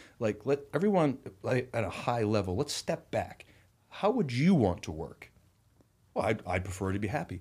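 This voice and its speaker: On a very clean recording with a silent background, a man with an American accent sounds somewhat breathy, his intonation lively. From Rhode Island, US. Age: 40s. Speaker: entrepreneur and investor. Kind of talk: podcast interview. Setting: studio.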